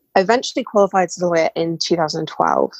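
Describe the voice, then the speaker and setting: A woman with a British accent at a moderate pace, in a dry, close sound with no echo. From England. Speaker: burnout mentor and former lawyer. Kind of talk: casual interview.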